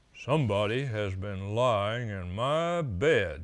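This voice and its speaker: Using a put-on character voice, a man speaks at a medium pitch and fairly slow pace. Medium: read story.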